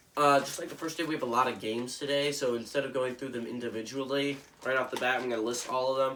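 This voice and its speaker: Amid noticeable background noise and audible room echo, a man of medium pitch speaks at a very fast pace in a monotone, flat way. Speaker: sports commentator. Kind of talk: casual sports picks monologue. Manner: casual, hesitant with fillers.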